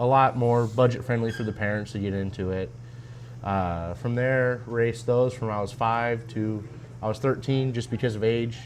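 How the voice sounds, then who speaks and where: This man talks at a moderate pace in a medium pitch, with a monotone, flat intonation. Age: 20s. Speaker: race car driver. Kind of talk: casual interview.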